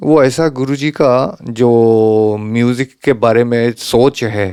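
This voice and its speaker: A man's medium-pitched voice in a Japanese accent, dark and mellow in tone, with ordinary pitch variation and a dry, close sound free of echo. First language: Japanese (speaking Hindi). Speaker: santoor player. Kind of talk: interview.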